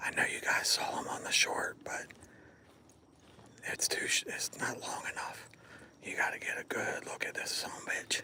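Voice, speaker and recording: Whispering at a moderate pace, a man leaves long, frequent pauses amid noticeable background noise. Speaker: livestreamer on a nature walk. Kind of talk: casual live stream chat. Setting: outdoors in the woods. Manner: hushed, quiet.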